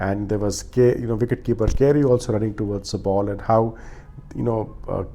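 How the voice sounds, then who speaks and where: The man speaks at a medium pitch. His tone is dark and mellow. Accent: Punjabi. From India. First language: Punjabi. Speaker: cricket commentator, vlogger. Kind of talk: solo review monologue. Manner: many filler 'uh' hesitations.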